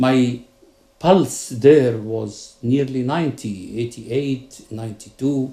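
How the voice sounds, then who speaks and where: A man speaks very slowly in a somewhat breathy voice with a dark, mellow tone. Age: 60s. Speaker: psychiatrist and patient giving testimonial. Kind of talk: testimony.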